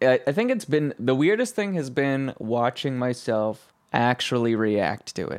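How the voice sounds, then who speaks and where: With an ordinary speaking voice, a man at medium pitch talks at a fairly slow pace with lively intonation and hardly any pauses. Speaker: podcast producer and co-host. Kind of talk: casual conversation.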